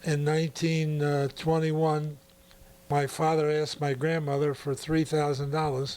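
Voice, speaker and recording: A man with an American accent, fairly high in pitch, at a fairly slow pace with monotone, flat intonation. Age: 80s+. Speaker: produce store owner. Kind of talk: interview answer.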